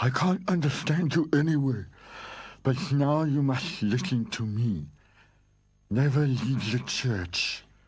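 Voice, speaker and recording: Using a cartoonish character voice, a man speaks at a very slow pace and medium pitch with ordinary pitch variation. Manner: gentle, earnest.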